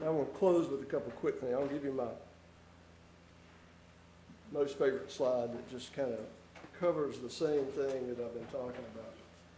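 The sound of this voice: With audible room echo, a man at medium pitch speaks at a moderate pace with long, frequent pauses, fairly even intonation and a dark, mellow tone.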